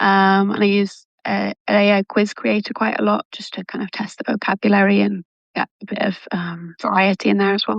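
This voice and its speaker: A woman with a British accent speaks with hardly any pauses. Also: moderate pace. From England, Manchester. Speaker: language coach. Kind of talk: casual interview.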